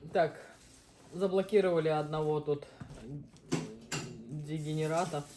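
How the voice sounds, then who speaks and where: With long, frequent pauses, a woman speaks at a fairly slow pace in a very deep, low pitch, her intonation fairly even. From Uzbekistan. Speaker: mukbang host, mother. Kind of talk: casual chat while eating on a live stream.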